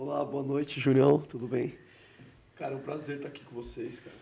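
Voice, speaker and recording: A man's voice with audible room echo. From Brazil. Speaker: entrepreneur. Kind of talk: casual interview.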